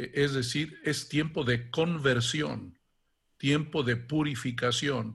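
Very slow speech from a man, fairly high in pitch, with vocal fry and ordinary pitch variation. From Mexico, Guanajuato. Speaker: archbishop. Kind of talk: interview.

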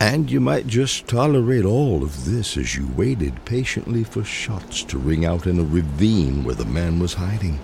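A man with a very deep, low pitch and very wide pitch swings at a fairly slow pace, over noticeable background noise. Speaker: poetry reader. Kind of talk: reading aloud a poem. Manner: measured, unhurried storytelling cadence; wry, intimate, directly addressing the listener.

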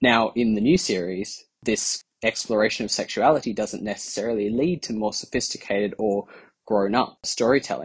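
Fairly low male voice with an Australian accent and ordinary pitch variation. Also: moderate pace. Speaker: fan submitting a response. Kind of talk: recorded listener response.

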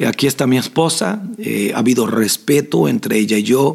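A man with a medium pitch and lively intonation speaks at a very slow pace. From Costa Rica, southern zone. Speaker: pastor and podcast host. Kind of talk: Q&A with spiritual advice.

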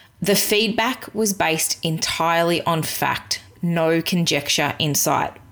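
Here is a woman with an Australian accent and a fairly low pitch. Her loudness stays very even. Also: ordinary pitch variation. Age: 30s. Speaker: podcast host, virtual assistant business owner. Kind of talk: solo podcast monologue.

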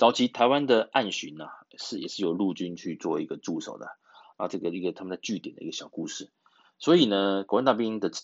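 Big swings in loudness mark a man talking at a fairly quick pace. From Taiwan. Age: 40s. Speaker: podcast host. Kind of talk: casual chat. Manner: halting, many fillers.

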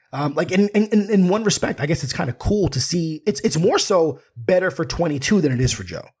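A man talks at a fairly quick pace in an animated, somewhat breathy voice with ordinary pitch variation. The recording is very clean, with a silent background. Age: 30s. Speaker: podcaster and film commentator. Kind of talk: casual chat.

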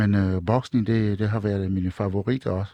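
This man has a West African accent and a dark, mellow tone, speaking at a moderate pace. The sound is dry and close with no echo, over a quiet background. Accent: West African-accented Danish. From Togo, West Africa. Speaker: master drummer. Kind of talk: live radio chat. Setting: studio. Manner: animated.

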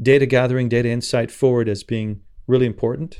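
A man with a normal speaking voice talks at medium pitch and a fairly quick pace against a quiet background. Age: 50s. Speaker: impact investor. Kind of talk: interview.

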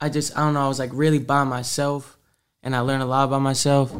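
The speaker has an American accent and a monotone, flat intonation at a fairly quick pace. The recording is very clean, with a silent background. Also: man. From Massachusetts, Salem and Marblehead. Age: 20s. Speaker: rapper. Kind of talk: interview.

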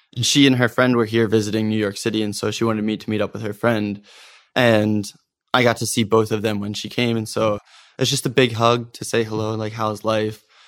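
On a very clean recording with a silent background, a man with an American accent talks at a fairly quick pace in a fairly low, monotone, flat voice. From US Northeast, Philadelphia suburbs (Norristown). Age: 20s. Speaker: social project founder, former consultant. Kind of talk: casual interview chat.

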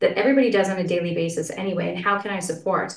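This woman has a Canadian accent and medium pitch. She speaks at a very fast pace with ordinary pitch variation. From Canada, Saskatchewan. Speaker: entrepreneur and wellness guide. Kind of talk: interview, personal story. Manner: soft-spoken.

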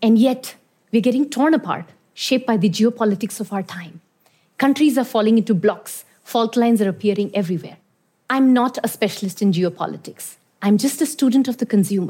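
Her fairly high pitch carries a dark, mellow tone that is somewhat breathy, as this woman moves at a fairly quick pace with ordinary pitch variation. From Iran (born in India). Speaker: consumer strategist. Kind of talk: talk to an audience.

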